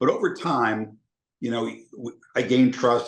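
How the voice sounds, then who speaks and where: Against a quiet background, a man talks in a normal speaking voice at a fairly quick pace with ordinary pitch variation. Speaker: sports announcer. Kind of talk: podcast interview answer.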